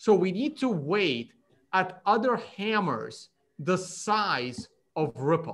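Very slowly, a man talks in a high pitch with very wide pitch swings. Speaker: livestream host. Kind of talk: casual chat. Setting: video call. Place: home room. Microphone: video call.

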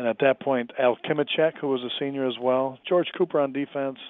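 A man's normal speaking voice, fairly even in intonation, at a moderate pace. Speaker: former pro football player. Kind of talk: interview.

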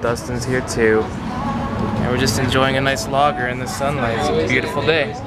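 Over loud background noise, a man speaks with little pitch movement. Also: medium pitch for a man, moderate pace.

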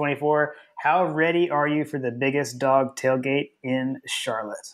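In a very clean recording with a silent background, a man with an American accent speaks at a fairly high pitch and with fairly even intonation. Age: 40s. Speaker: sports podcast host. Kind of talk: casual chat.

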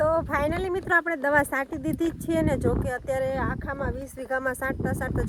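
A woman talks over noticeable background noise. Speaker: farming vlogger. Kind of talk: casual vlog narration. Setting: outdoors on a farm.

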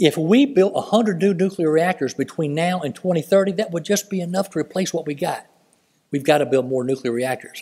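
Over a quiet background, a man talks at a fairly quick pace in a high pitch. His tone is dark and mellow, with ordinary pitch variation. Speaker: public speaker. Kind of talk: speech to an audience. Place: hall. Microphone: podium.

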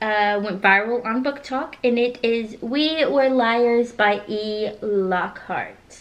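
A woman speaks with ordinary variation in pitch. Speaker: book reviewer. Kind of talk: casual vlog chat. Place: home room. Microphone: camera far.

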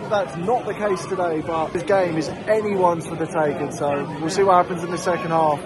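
A man talks at a moderate pace while crowd noise fills the background. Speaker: football vlogger. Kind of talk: casual vlog chat. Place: stadium. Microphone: phone near.

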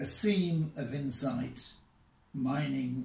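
A man's voice with audible room echo. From England. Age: 80s+. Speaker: poet. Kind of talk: poetry reading. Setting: outdoors. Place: home room.

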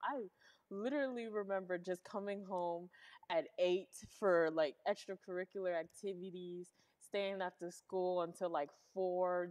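Against a quiet background, a woman speaks at a fairly slow pace with fairly even intonation. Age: young. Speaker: host's teenage daughter. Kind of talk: casual interview. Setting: live stream. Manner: casual with many fillers. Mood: relaxed, smiling. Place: studio.

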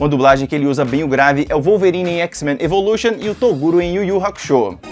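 Backed by music in the background, a man talks at a very fast pace. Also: fairly high pitch for a man, lively intonation. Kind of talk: ranking video narration.

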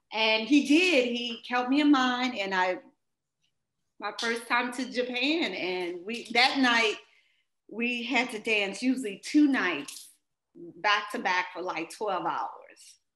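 Her high voice has a bright, sharp tone and lively intonation, and the woman speaks at a very slow pace over audible room echo. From US Midwest, St. Louis, Missouri; Missouri. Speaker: dancer; interviewee. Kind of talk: interview. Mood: warm, reflective. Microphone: webcam.

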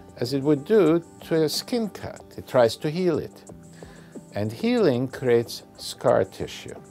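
A man speaks. Faint music plays in the background. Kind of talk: interview answer. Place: office.

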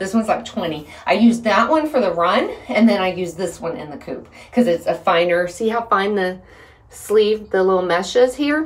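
A woman speaks at a moderate pace with lively intonation and a medium pitch, and audible room echo surrounds her.

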